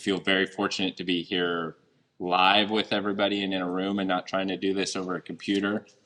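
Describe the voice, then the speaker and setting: Fairly low in pitch, a man talks at a fairly quick pace. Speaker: deputy police chief. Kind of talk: public speech. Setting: event hall with audience, microphone. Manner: loud.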